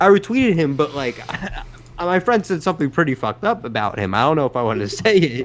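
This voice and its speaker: Against noticeable background noise, a man with a fairly high pitch talks at a very fast pace. His pitch swings very widely. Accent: strong Brooklyn. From New York City. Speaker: podcast co-host. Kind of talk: casual chat. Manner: animated storytelling.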